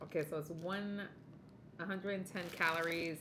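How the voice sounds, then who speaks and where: Background noise is noticeable throughout. The speaker is a woman with a fairly low voice. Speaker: home cooking vlogger. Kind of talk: casual vlog chat. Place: home room. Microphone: phone near.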